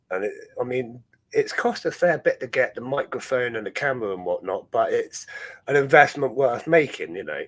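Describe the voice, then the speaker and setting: A man speaks with a Dorset accent at a fairly quick pace. His loudness swings widely. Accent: Dorset farmer style. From Dorset, southwest England. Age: 30s. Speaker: ant-keeping streamer. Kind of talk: casual chat. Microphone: new microphone.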